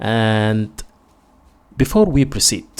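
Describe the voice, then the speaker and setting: A man's voice with lively intonation. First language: not English. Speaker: programming tutorial creator. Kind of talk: tutorial. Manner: casual. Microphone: new microphone.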